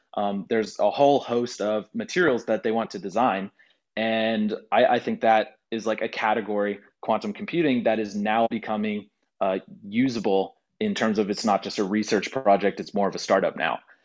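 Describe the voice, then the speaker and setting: Speaking in an unremarkable speaking voice, a man with an American accent keeps a medium pitch, fairly even intonation and a moderate pace. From Texas, Houston. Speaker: content creator and engineer. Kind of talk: interview.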